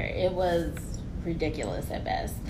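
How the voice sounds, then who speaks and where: Moderately paced female speech amid noticeable background noise and audible room echo. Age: young. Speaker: tourism consultant. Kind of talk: casual chat. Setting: office.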